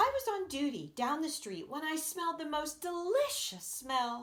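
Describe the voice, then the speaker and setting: Using a put-on character voice, a woman sounds squeaky at an extremely high pitch, with very wide pitch swings and a moderate pace. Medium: read story.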